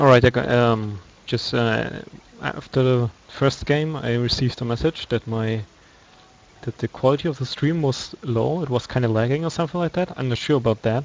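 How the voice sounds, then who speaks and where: At a moderate pace, a medium-pitched man with a non-native accent talks with ordinary pitch variation over noticeable background noise. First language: not English. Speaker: esports commentator. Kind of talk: live commentary. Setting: live stream. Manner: halting.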